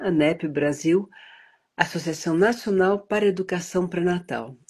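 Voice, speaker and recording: A woman is speaking. Her pace is fairly slow. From United States, educated in Europe. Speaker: prenatal education advocate. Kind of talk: interview. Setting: live stream.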